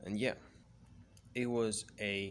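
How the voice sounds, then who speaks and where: A very slow pace with a monotone, flat intonation. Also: man. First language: Spanish. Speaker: freelance copywriter. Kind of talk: casual personal vlog. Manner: halting.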